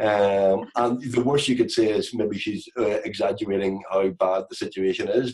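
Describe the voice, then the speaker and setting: Against a quiet background, a man talks at a medium pitch with a Northern Irish accent. His pitch variation is ordinary. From Northern Ireland. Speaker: comedian and actor. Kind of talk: podcast interview answer. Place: home room. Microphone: video call.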